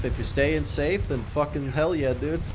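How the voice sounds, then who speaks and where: Over noticeable background noise, a man talks at a fairly slow pace with audible room echo. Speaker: gaming streamer and YouTuber. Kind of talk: casual live-stream gameplay chat. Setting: live stream while playing a game. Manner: halting, many fillers and restarts.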